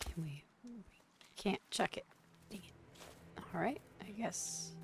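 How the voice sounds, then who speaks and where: Someone whispers at a very slow pace. Music plays in the background. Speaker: vtuber streamer. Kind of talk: gameplay live stream. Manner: casual, talking to chat.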